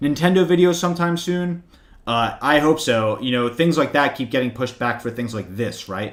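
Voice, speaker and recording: Speaking at a fairly quick pace, a man with an American accent uses lively intonation in an unremarkable speaking voice. The recording is very clean, with a silent background. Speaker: finance YouTuber. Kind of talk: livestream Q&A with chat. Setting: home livestream with webcam. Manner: casual, many fillers. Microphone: new good microphone.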